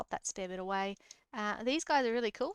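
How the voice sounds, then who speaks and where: A fairly high-pitched woman with an Australian accent, dry and close with no echo. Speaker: gaming youtuber. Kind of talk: let's play commentary. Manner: casual, hesitant with fillers.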